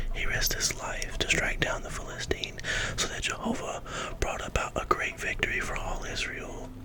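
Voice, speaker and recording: Whispering at a moderate pace, a man can be heard over noticeable background noise. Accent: American. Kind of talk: scripture reading aloud.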